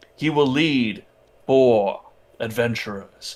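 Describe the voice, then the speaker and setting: Using a put-on character voice, a man speaks fairly slowly at a medium pitch with ordinary pitch variation. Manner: charming.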